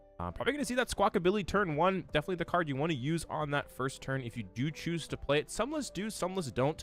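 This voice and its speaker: Music plays behind a man who talks very fast at a high pitch, with lively intonation and hardly any pauses. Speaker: streamer commentating card game tournament. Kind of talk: live commentary. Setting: livestream watch party. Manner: casual, conversational.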